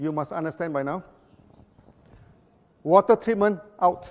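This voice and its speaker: Man with a Malaysian accent, high pitch and ordinary pitch variation. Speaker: company founder. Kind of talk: presentation to audience. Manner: fast; repetitive stammering.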